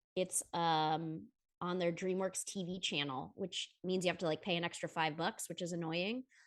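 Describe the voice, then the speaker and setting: A woman with an unremarkable speaking voice talks at a moderate pace. Her pitch is fairly low, and the background is quiet. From United States, lives in Atlanta. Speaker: voiceover actress, writer, producer, comedic musician. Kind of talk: podcast interview answer. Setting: video call with travel microphone. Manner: talkative, upbeat, casual.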